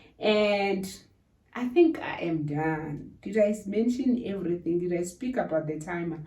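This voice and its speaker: This woman has a normal speaking voice with a fairly low pitch. Her pitch varies an ordinary amount. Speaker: YouTuber. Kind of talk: tutorial.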